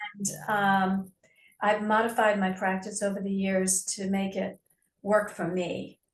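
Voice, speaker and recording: Somewhat breathy, a woman speaks fairly slowly at medium pitch in a monotone, flat way. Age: 70s. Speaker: prospective yoga therapy student. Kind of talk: casual chat. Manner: halting.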